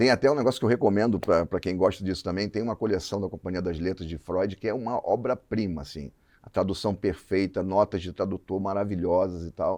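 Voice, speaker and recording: A man speaks in a fairly low voice with a dark, mellow tone. His pace is fairly quick against a quiet background. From Rio de Janeiro, Brazil. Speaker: advertising creative director. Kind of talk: podcast interview.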